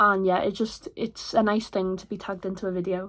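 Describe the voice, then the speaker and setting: This woman speaks at a moderate pace. The recording is very clean, with a silent background. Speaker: busker and singer. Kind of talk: casual vlog talk to camera. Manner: chatty, rambling.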